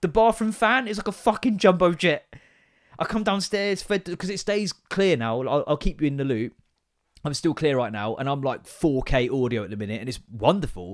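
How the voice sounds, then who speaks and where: A man speaks loudly in an English accent, with an animated tone. His pitch swings very widely on a very clean recording with a silent background. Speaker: comedy podcast host. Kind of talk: casual comedic monologue.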